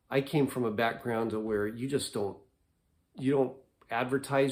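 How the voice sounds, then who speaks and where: A man speaks in a calm tone. His pitch varies in an ordinary way. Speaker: vlogger. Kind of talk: casual monologue to camera. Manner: calm, low-key.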